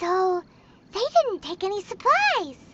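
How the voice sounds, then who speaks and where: This is a put-on character voice, squeaky in sound. The pitch sits extremely high. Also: moderate pace. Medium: video game. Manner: energetic, impatient.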